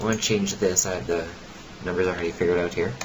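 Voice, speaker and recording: A man with a very deep, low pitch speaks with fairly even intonation amid noticeable background noise and audible room echo. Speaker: software tutorial youtuber. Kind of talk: tutorial. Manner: fast.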